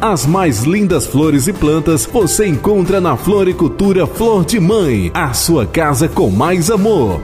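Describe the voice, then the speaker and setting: With music in the background, a man speaks at a very slow pace in a high pitch, with lively intonation, very even loudness and hardly any pauses. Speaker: announcer / voice-over locutor. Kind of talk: local radio-style commercial read for a flower shop.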